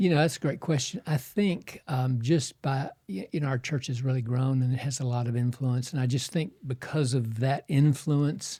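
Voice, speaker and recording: A man's medium-pitched, somewhat breathy voice with a dark, mellow tone, ordinary pitch variation and hardly any pauses. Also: moderate pace. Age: 70s. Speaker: surgeon and pastor. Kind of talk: podcast interview.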